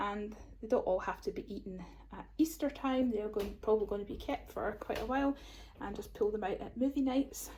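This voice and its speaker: A woman speaks in a Scottish accent. Her pace is fairly quick. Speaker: YouTuber. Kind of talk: grocery haul vlog. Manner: casual and chatty.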